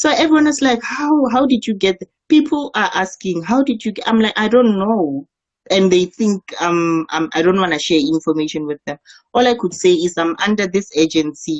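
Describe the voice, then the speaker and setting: A woman speaks at a moderate pace with a medium pitch. Her pitch swings very widely. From South Africa, Limpopo. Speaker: model. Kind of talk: interview. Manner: halting.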